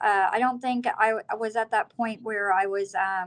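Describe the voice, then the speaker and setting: Fairly even intonation marks this fairly slow delivery in an American accent. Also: woman. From Ohio, Athens County. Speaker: guest sharing recovery story. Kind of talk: testimony. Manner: halting, many fillers.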